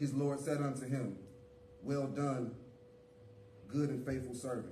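Light background noise and audible room echo around a man speaking at a moderate pace. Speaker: church leader. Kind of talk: scripture reading, call and response. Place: church.

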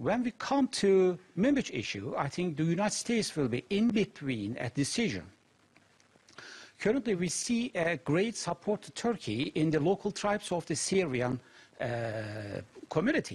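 A man's high-pitched voice with very wide pitch swings, at a moderate pace. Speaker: security studies lecturer, interview guest. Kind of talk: interview answer. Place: studio.

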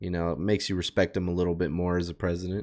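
A man speaks in an animated tone over a quiet background. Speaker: reaction YouTuber. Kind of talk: casual reaction commentary. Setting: streamer talking to chat. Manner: casual, animated. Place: home room. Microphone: headset.

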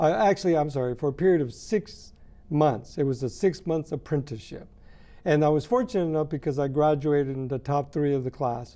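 Relaxed in tone, a man with a dark, mellow voice talks at a fairly quick pace with ordinary pitch variation. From Mexico (Jalisco). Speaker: graphic artist and art director. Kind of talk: interview answer. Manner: relaxed, conversational, hesitant with fillers. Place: studio.

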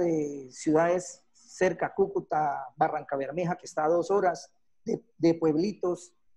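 Against a quiet background, a man speaks fairly slowly in a high pitch with fairly even intonation. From Colombia, Bucaramanga. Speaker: special effects technician. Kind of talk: online talk / technical presentation. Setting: video call. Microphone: video call.

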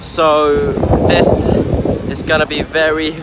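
A man's voice comes through with a dry sound and no echo, over loud background noise. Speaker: travel vlogger. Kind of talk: casual vlog chat. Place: beach. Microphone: phone near.

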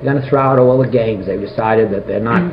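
Noticeable background noise sits behind the speech. A man talks at medium pitch with ordinary pitch variation. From American (New York). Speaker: publisher and game show panelist. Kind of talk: oral history interview answer. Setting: old audio recording, mediocre sound quality. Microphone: old recording.

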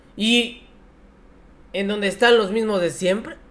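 At a moderate pace, a man speaks with a high pitch. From Mexico. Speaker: political commentary youtuber. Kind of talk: political commentary. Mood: mocking, scornful. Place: home room. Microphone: headset.

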